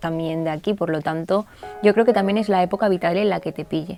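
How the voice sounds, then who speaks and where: A woman's fairly low-pitched voice with music in the background. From Catalonia, Spain. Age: 20s. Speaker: journalist. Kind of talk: interview answer.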